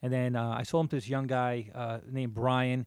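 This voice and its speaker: In a very clean recording with a silent background, a man talks with a New Jersey accent. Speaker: podcast co-host. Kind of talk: casual chat.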